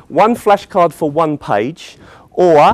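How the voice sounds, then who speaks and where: In a British accent, a man speaks at a fairly high pitch with ordinary pitch variation. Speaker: teacher trainer. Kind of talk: conference presentation. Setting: conference hall with audience. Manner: animated.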